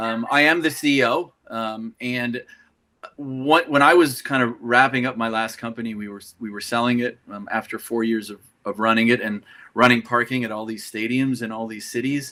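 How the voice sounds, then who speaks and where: With a Canadian accent, a man talks in a bright, sharp tone, his intonation fairly even while his loudness swings widely. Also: medium pitch for a man, moderate pace. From Canada. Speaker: tech company CEO. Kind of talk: interview.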